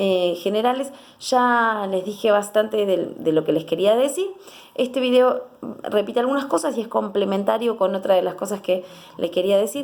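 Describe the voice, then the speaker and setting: Her intonation is lively. The woman's pitch sits fairly high. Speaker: psychologist. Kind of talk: educational talk to camera. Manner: fast; animated.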